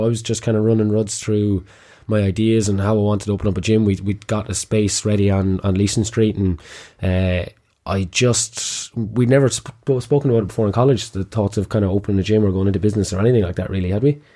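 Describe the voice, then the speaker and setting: A man with a Kilkenny accent, fairly low in pitch and dark, mellow in tone, at a very fast pace, in a very clean recording with a silent background. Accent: Irish (Kilkenny), noticeable. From Kilkenny, Ireland. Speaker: gym owner and podcast host. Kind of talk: casual chat, podcast intro. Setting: studio. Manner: animated, joking.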